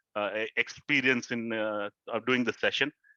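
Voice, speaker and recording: A man at a medium pitch with fairly even intonation. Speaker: motivational speaker. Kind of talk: talk to an audience. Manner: halting.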